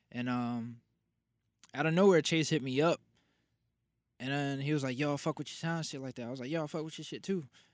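Captured in a very clean recording with a silent background, a man talks with ordinary pitch variation. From New Jersey. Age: 20s. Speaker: rapper. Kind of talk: casual chat. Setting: studio.

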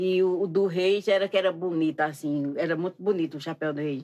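This voice belongs to a woman. Her recording is very clean, and the background is silent. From Pernambuco countryside, Brazil. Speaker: costume maker and folk singer. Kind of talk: casual interview.

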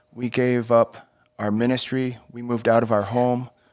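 A man talks at a moderate pace on a very clean recording with a silent background. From Texas. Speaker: former missionary. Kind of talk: interview testimony.

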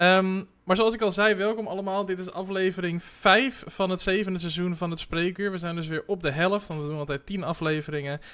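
A man with a high voice talks at a fairly quick pace with fairly even intonation and hardly any pauses. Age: 30s. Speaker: podcast host. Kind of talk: interview conversation.

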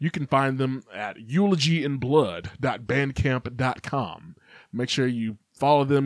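A plain, everyday voice from a man with an American accent, medium-pitched with ordinary pitch variation, in a very clean, silent recording that is dry and close with no echo. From Kentucky, US South. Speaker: metal podcast host. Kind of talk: casual solo podcast monologue. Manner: casual, many filler words.

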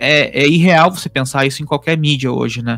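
Very fast speech over music in the background. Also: man. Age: 30s. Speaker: podcast host, digital marketer. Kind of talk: casual chat. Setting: home office. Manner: halting.

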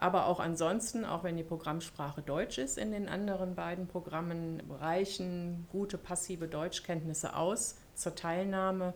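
With a plain, everyday voice, a woman talks at a fairly slow pace and a fairly low pitch, keeping her intonation fairly even and hardly pausing. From Germany. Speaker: university equality officer. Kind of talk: podcast interview.

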